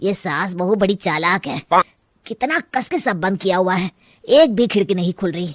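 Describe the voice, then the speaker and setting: A man's cartoonish character voice at a high pitch and moderate pace, with ordinary pitch variation and a dry, close sound with no echo. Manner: jittery.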